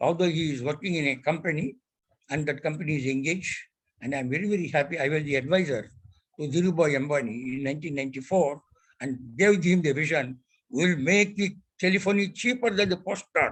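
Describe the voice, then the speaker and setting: With an Indian accent, the speaker talks at a fairly quick pace with ordinary pitch variation. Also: man, fairly high pitch for a man. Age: 90s. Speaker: telecom industry elder statesman. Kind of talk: ceremonial speech.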